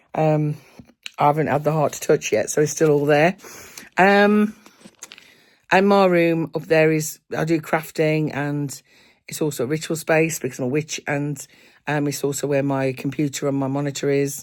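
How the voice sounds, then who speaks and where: A woman with an English Midlands accent, very deep and low in pitch, at a moderate pace with fairly even intonation and long, frequent pauses. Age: 50s. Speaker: booktuber. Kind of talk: casual chat. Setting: at home. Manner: halting.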